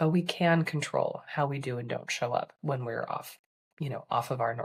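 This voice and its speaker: Somewhat breathy and very deep in pitch, a woman speaks at a moderate pace with ordinary pitch variation. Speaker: life coach for physicians. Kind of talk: podcast episode talk. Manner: casual, conversational.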